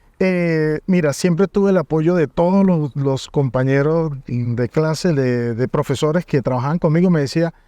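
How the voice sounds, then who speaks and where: A man with a fairly high pitch and a dark, mellow tone speaks at a fairly slow pace with ordinary pitch variation, very even loudness and hardly any pauses, in a dry, close sound with no echo. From Venezuela, Mérida state (El Vigía). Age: 40s. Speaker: university coordinator. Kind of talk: interview.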